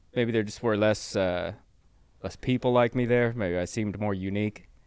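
A plain, everyday voice from a man with an American accent, medium in pitch, with ordinary pitch variation and a moderate pace, on a very clean recording with a silent background. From Southern California (Riverside). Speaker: comedian. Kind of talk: casual chat.

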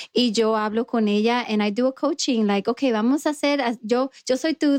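The sound is dry and close with no echo. A woman speaks at a high pitch and a moderate pace with ordinary pitch variation. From New York, immigrant to US. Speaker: dental hygienist and dental recruiter. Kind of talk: casual interview chat.

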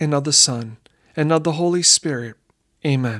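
The tone is solemn and the pace fairly slow. The recording is very clean, with a silent background. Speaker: prayer leader. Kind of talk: guided prayer. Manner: fervent; solemn, slow, reverent.

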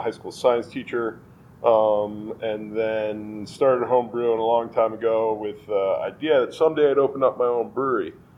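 A man's medium-pitched voice with an American accent comes through noticeable background noise. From New York (Westchester). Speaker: brewery owner. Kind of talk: casual interview.

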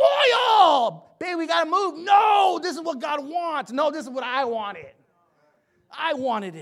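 Shouting in an animated tone, the speaker goes at a fairly slow pace. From US West Coast, San Jose. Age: 40s. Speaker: pastor and probation officer. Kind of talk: sermon. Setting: church with congregation. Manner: animated, conversational, humorous; stuttering, repeats words.

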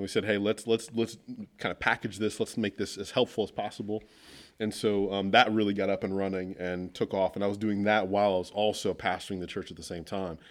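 A man with an American accent talks at a very fast pace in a fairly low, monotone voice. The recording is very clean, with a silent background. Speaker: author and leadership coach. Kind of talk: casual interview chat.

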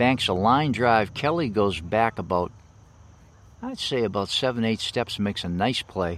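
In an ordinary speaking voice, a man talks at medium pitch and a moderate pace with ordinary pitch variation, on a very clean recording with a silent background. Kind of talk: live baseball play-by-play commentary. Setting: outdoors at a ballfield.

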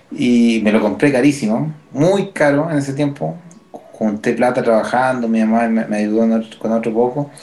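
With a Chilean accent and very even loudness, the speaker is heard over noticeable background noise. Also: man, medium pitch for a man, lively intonation, fairly slow pace. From Chile, Quilpué (Valparaíso region). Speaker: musician, percussionist. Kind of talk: casual chat.

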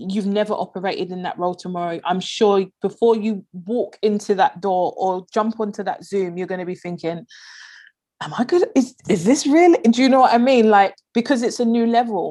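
A woman with a London accent speaks at a medium pitch and a moderate pace. Her tone is dark and mellow, with ordinary pitch variation. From south London (Peckham). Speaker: leadership and performance coach. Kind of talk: interview conversation.

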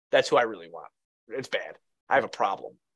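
A very fast, animated voice in an American accent. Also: man. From Chicago area, Illinois. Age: 30s. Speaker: sports podcaster. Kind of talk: casual chat.

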